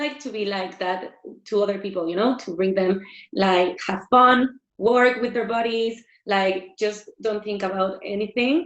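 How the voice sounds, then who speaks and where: A woman with a Mexican accent speaks at a very slow pace, her fairly high pitch showing ordinary variation. Music plays in the background. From Mexico. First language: Spanish. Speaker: fitness instructor and former dancer. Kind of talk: interview. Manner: halting.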